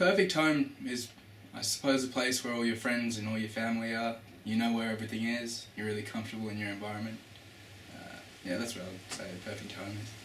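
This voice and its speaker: Over noticeable background noise and audible room echo, a man talks very fast at a medium pitch, with ordinary pitch variation. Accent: Australian. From Australia, Melbourne. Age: 20s. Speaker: student. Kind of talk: interview answers.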